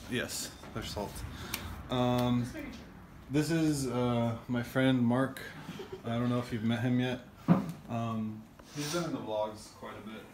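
A man speaks slowly at medium pitch with fairly even intonation and a slightly mellow tone. Long, frequent pauses stand out against faint background noise.

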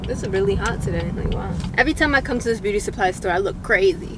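A woman speaks at a fairly quick pace, the sound dry with no echo. Background noise is noticeable. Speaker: vlogger. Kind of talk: casual vlog chat. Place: car.

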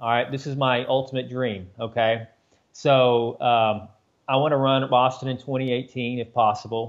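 Over a quiet background, a man talks in a monotone, flat intonation. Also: moderate pace. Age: 40s. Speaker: amateur marathon runner; podcast guest. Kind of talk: podcast interview answer. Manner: casual, conversational. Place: home room. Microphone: video call.

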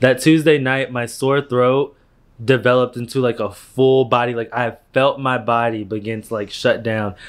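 Recorded against a quiet background, a man talks at a moderate pace. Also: fairly even intonation. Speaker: vlogger. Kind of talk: casual vlog chat. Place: home room. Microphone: phone near.

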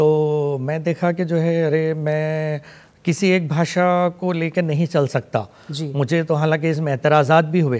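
A man with a Pakistani accent speaks at a very slow pace, his fairly high pitch carried on fairly even intonation. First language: Urdu (speaking Hindi). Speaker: poet and writer, Hindi lecturer; poet, Hindi lecturer. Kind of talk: TV interview. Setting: studio. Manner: formal. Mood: calm, reflective. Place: studio. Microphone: lapel.

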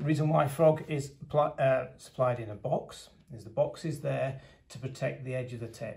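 Vocal fry runs through a man's speech, which has ordinary pitch variation. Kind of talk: product demonstration. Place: meeting room. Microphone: phone near.

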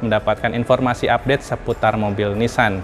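A man talks fairly quickly. Clear music sounds behind his voice. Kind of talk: casual vlog intro. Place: shop. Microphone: lapel.

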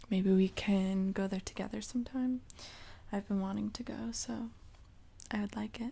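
Soft-spoken and somewhat breathy, a woman talks with a dark, mellow tone and fairly even intonation. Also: moderate pace. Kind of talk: soft roleplay chat to the viewer. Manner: soft, intimate close-mic voice. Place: home room. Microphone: studio mic.

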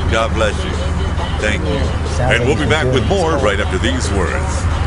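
Over loud background noise, a man with an American accent speaks at a fairly slow pace. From Brooklyn, New York. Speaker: radio announcer. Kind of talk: radio station announcer read. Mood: grateful, smiling. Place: street. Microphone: phone near.

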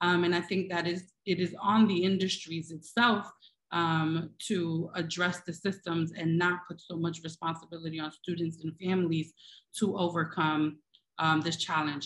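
With an American accent, a woman speaks in a somewhat breathy, fairly low voice, with monotone, flat intonation, at a moderate pace against a quiet background. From Brooklyn, New York; New York. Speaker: tech education nonprofit CEO; panelist. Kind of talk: panel discussion. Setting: video call. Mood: earnest, advocating. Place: home room. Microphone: video call.

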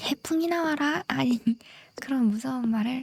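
Soft-spoken and high-pitched, a woman talks fairly slowly with lively intonation and a dry, close sound with no echo. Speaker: game streamer. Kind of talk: gameplay chat. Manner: whispering.

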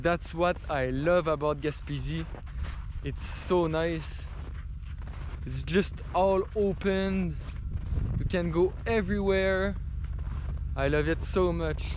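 A man at a very slow pace with long, frequent pauses, dry sound with no echo and light background noise. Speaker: travel vlogger. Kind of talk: casual vlog chat. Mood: excited, cheerful. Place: open country. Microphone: phone near.

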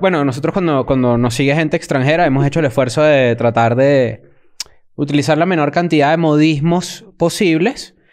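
An animated speaker talks at a moderate pace with ordinary pitch variation and very even loudness against a quiet background. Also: man, fairly high pitch for a man. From Venezuela, Caracas. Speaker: podcast co-host. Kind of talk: casual chat. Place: studio. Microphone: studio mic.

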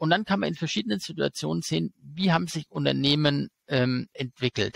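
A man talks at a moderate pace with vocal fry. The sound is dry with no echo, against a quiet background. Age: 40s. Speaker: stock market expert and YouTuber; interview guest. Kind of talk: interview. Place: home room. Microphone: headset.

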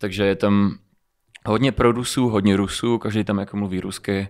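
Against a quiet background, a man speaks quickly enough, at a fairly low pitch, with monotone, flat intonation. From Moldova, raised in Czech Republic from age 4. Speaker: rapper and singer; podcast guest. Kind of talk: casual interview. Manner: hesitant, filler-heavy. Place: studio. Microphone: studio mic.

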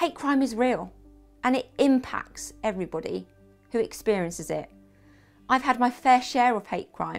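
A woman speaks at a moderate pace. Faint music is in the background. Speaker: vlogger. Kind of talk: casual vlog chat. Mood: frustrated, emotional. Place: home room.

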